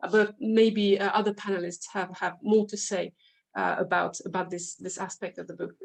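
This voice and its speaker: Monotone, flat intonation in a French accent, with vocal fry, big swings in loudness and a moderate pace. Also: woman, medium pitch for a woman. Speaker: literature scholar. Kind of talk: academic panel discussion. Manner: halting, many fillers.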